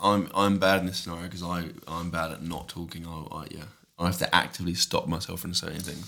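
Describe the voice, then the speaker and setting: A man with a very deep, low pitch and a bright, sharp tone talks at a fairly quick pace. His intonation is monotone and flat, while his loudness swings widely. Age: 30s. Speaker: fitness YouTuber. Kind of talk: casual chat.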